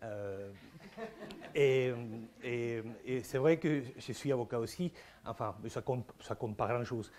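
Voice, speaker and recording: Speaking very slowly in an Argentine accent, a man leaves long, frequent pauses and uses ordinary pitch variation. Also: medium pitch for a man. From Argentina, Buenos Aires. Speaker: philosopher. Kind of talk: conference talk. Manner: halting, many repetitions and hesitations.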